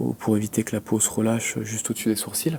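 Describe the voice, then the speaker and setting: A man speaks at a fairly quick pace. His voice is fairly low, with ordinary pitch variation. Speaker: acupuncturist. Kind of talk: live demonstration commentary. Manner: soft-spoken.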